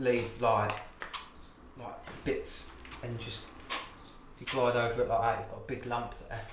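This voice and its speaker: A man mumbles in a British accent at a very slow pace. Audible room echo and noticeable background noise surround his voice. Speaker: plasterer. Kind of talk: tutorial. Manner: mumbling.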